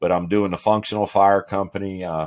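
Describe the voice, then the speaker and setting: The recording is very clean, with a silent background. A man does the talking. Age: 60s. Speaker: fire chief. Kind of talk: casual interview.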